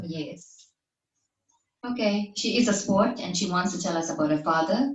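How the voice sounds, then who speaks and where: Intonation rises and falls in a lively way, at a moderate pace. It is an ordinary speaking voice. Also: woman, medium pitch for a woman. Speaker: podcast host. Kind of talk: podcast intro and interview questions.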